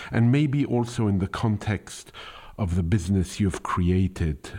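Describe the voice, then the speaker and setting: Dark and mellow in tone, a man with a non-native accent speaks at a fairly slow pace with ordinary pitch variation. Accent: foreign. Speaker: podcast host. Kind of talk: interview. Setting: phone call. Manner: formal.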